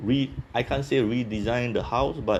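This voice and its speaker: A man speaks in a Singaporean accent. His pace is fairly slow. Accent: Singaporean English, somewhat Singlish. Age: 30s. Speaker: office worker interviewed about his country. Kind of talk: casual interview chat. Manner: halting, many fillers.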